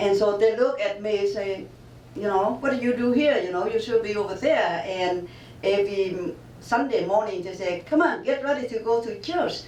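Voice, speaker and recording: Lively intonation from a woman with a Vietnamese accent at a moderate pace, amid noticeable background noise and audible room echo. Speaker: author. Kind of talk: interview. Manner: halting.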